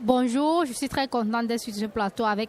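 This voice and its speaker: Her pitch shifts in an ordinary way. This woman keeps a moderate pace. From Cameroon. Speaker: cooperative co-founder, environmental activist. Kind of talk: radio panel discussion. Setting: live radio set at a forum.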